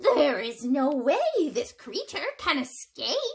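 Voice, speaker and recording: A squeaky, high-pitched put-on character voice speaks very slowly with very wide pitch swings. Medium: read story. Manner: showy, pompous.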